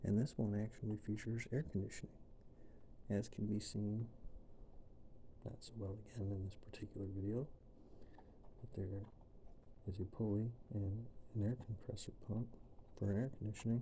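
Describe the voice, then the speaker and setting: A soft-spoken man talks at a moderate pace with long, frequent pauses, his fairly low voice somewhat breathy with a dark, mellow tone. His intonation stays monotone and flat. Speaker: ASMR creator, car enthusiast. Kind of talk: soft-spoken ASMR tutorial.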